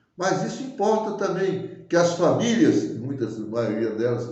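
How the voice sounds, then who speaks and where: Audible room echo surrounds this man. He speaks at a high pitch and a fairly slow pace. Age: 80s+. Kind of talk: public address. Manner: impassioned; halting, self-correcting.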